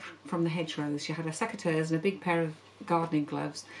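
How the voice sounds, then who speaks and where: Over light background noise, a woman talks at a fairly quick pace in a monotone, flat intonation. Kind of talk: casual vlog chat. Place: studio.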